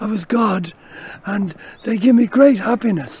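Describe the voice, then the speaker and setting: Speaking with a Dublin accent, a man has an extremely high pitch and ordinary pitch variation. He talks at a fairly slow pace over noticeable background noise. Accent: Dublin Irish. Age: 70s. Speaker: dog owner. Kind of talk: interview. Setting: outdoors in a park.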